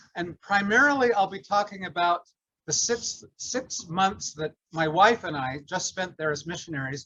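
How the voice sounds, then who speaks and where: Loud and lively, a man speaks at a high pitch and a moderate pace. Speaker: retired English professor and class teacher. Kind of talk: class introduction.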